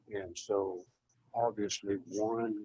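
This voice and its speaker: The voice has a dark, mellow tone and is somewhat breathy, with a dry, close sound and no echo. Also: man. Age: 60s. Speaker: well owner addressing a water board. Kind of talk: public comment at a board meeting. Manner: halting, many fillers.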